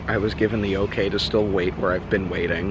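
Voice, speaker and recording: Against noticeable background noise and audible room echo, a man talks fairly quickly in a fairly low pitch with monotone, flat intonation. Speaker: travel vlogger. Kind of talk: vlog narration. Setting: outdoors. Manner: quiet.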